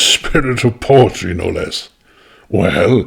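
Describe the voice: The speaker reads aloud plainly with fairly even intonation.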